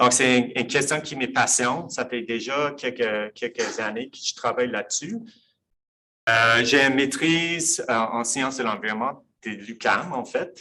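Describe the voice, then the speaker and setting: A man's bright, sharp voice at a medium pitch, with ordinary pitch variation, a fairly slow pace and big swings in loudness. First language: English (speaking French). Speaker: professor. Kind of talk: lecture. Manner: halting.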